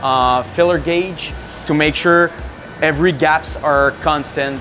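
With music in the background, a man talks at a fairly slow pace. His intonation is monotone and flat. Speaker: factory engineer guide. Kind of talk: interview answer. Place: factory.

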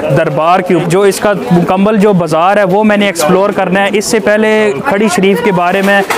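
Noticeable background noise behind a man speaking at a moderate speed. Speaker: travel vlogger. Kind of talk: casual vlog chat. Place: market. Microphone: phone near.

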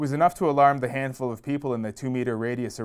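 Intonation holds fairly even. This is plain reading aloud.

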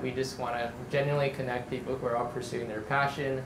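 Over noticeable background noise, a man talks at a moderate pace in a monotone, flat voice. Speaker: event host. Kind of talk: event introduction to audience. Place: cafe.

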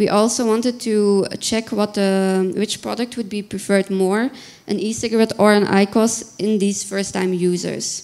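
A woman's flat, monotone delivery at a moderate pace. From Belgium. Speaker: researcher; conference presenter. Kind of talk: conference presentation. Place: hall. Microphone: handheld.

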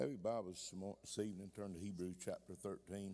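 A man with a dark, mellow tone talks with fairly even intonation.

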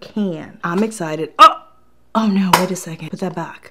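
Noticeable noise fills the background. Over it, a woman talks with lively intonation. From Puerto Rico. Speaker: YouTuber, product reviewer. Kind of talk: casual product review vlog. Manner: animated. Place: studio.

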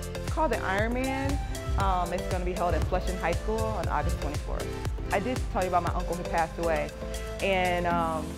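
Clear music plays in the background. Over it, a woman talks at a fairly quick pace. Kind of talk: interview answer. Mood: proud, sentimental. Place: gym.

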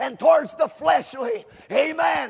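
A man shouting at a fairly slow pace against a quiet background. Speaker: preacher. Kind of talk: sermon. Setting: camp meeting. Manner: fervent, exhorting, with frequent amens and hallelujahs. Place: hall.

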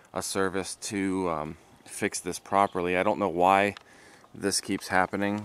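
The pace is fairly slow. The sound is dry with no echo. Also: man. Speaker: car vlogger. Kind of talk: casual vlog chat. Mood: mildly frustrated. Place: street. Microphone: phone near.

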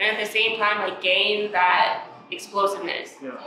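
Noticeable background noise and audible room echo fill the clip. A woman speaks at a fairly slow pace. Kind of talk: interview answer. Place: gym.

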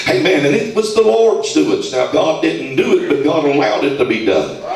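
In an American accent, a man speaks at a moderate pace in an animated tone, with audible room echo and noticeable background noise. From US South, Georgia. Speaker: preacher. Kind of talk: fervent live sermon prayer, scripture-citing call-and-response. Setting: live gathering in a mattress store with audience. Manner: animated, exhorting congregation to shout and clap; repetitive rhythmic declarations punctuated by hallelujahs. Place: shop.

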